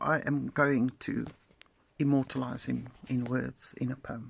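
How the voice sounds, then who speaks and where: In a South African accent, a woman speaks at a fairly slow pace. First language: Afrikaans. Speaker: poet and social media creator. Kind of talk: casual storytelling monologue. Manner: animated.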